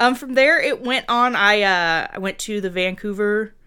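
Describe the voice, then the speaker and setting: A loud woman's voice, fairly high in pitch with a bright, sharp tone and ordinary pitch variation, at a moderate pace in a very clean recording with a silent background. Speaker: makeup effects artist. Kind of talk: casual chat. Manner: animated.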